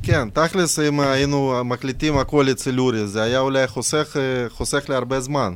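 A non-native accent with ordinary pitch variation. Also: man, medium pitch for a man, moderate pace. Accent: noticeable foreign accent in Hebrew. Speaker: rapper. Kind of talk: casual chat.

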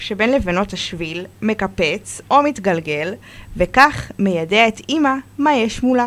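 Moving at a very slow pace, a woman talks with lively intonation. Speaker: children's book author. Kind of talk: reading aloud; interview. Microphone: too far from the mic.

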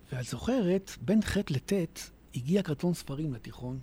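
A man's lively intonation comes in a dark, mellow tone that is somewhat breathy. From Israel, Hadera. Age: 50s. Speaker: author. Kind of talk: radio interview.

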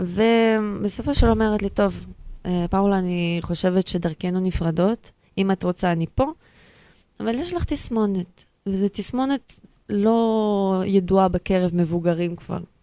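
Speaking very slowly, a woman with a non-native accent uses a medium pitch and ordinary pitch variation. The recording is very clean and dry, close-sounding with no echo and a silent background. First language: not Hebrew (speaking Hebrew). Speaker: guest with Asperger's. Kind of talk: personal testimony interview.

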